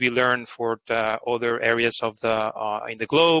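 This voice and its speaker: A man is heard against a quiet background, the sound dry with no echo. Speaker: panel moderator. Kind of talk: webinar panel introduction. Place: home room. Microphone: headset.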